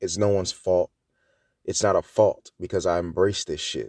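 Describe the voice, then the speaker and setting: On a very clean recording with a silent background, a man speaks at a fairly slow pace. The sound is dry and close, without echo. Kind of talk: angry rant. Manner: loud, fired-up, emphatic and profane, hammering repeated phrases; urgent, preachy, addressing listeners directly as 'y'all'.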